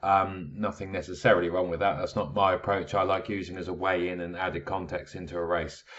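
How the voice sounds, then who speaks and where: Very fast, flat, monotone delivery from a man with a very deep, low voice and a British accent, with hardly any pauses. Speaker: horse racing tipster. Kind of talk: video analysis talk. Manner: casual, many filler words.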